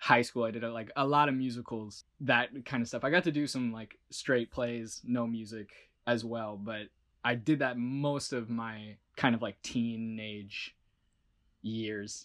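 This is a normal speaking voice with an American accent. The intonation is fairly even and the pace fairly slow. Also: man, medium pitch for a man. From US Midwest, Chicago area. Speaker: voice actor. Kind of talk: casual interview.

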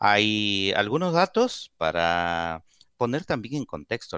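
A man talks at a very slow pace in a bright, sharp tone, the sound dry and close with no echo. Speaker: radio host. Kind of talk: call-in radio show.

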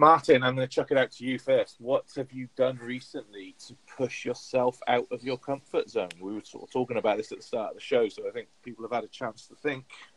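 A man at a fairly quick pace with hardly any pauses and big swings in loudness, in a dry, close sound with no echo. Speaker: podcast co-host. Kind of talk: casual chat.

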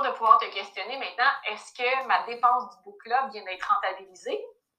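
Here a woman talks at a fairly quick pace in a bright, sharp tone with ordinary pitch variation and big swings in loudness. Audible room echo surrounds her voice. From Quebec. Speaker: personal finance coach. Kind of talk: casual interview.

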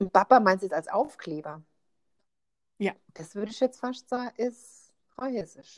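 This woman's fairly high voice moves at a moderate pace with lively intonation, big swings in loudness and long, frequent pauses. The sound is dry and close, with no echo. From Rheinhessen, Germany. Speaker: podcast co-host. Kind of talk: casual chat.

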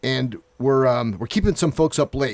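Delivered at a moderate pace, this is a normal speaking voice with ordinary pitch variation. The sound is dry and close, with no echo. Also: man. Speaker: podcast host. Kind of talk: casual chat. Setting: studio.

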